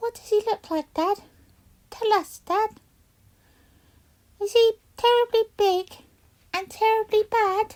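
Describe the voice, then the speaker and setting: A female-sounding, put-on character voice squeaks at an extremely high pitch. It moves at a fairly slow pace with long, frequent pauses. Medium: read story.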